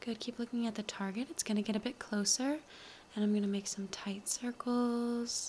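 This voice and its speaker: A soft-spoken woman talks at a moderate pace. Light background noise can be heard. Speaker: content creator in a pretend eye-doctor role. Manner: soft, hushed ASMR clinician voice. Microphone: phone near.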